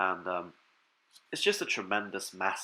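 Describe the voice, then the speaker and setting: Very deep and low, a man's voice moves at a moderate pace. His intonation stays monotone and flat. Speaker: fitness vlogger. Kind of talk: casual vlog talk. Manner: hesitant, many fillers.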